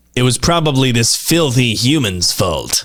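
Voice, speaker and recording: A man's put-on character voice at medium pitch and moderate pace. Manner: judgmental, dismissive.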